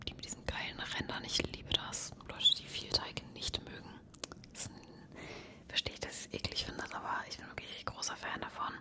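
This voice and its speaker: Whispering at a moderate pace in a relaxed tone, a woman speaks over noticeable background noise. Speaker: ASMR creator. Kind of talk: ASMR whispered rambling talk to camera. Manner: whispered, relaxed, casual.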